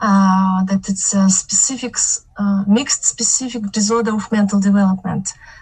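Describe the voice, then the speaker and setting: A woman with a plain, everyday voice, medium pitch, fairly even intonation and a moderate pace. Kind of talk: testimony. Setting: video call. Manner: nervous.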